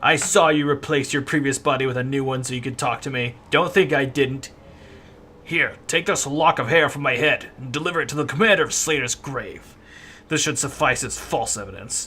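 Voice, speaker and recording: Putting on a character voice, a man speaks at a moderate pace with a fairly high pitch and ordinary pitch variation over clear background noise. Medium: game stream.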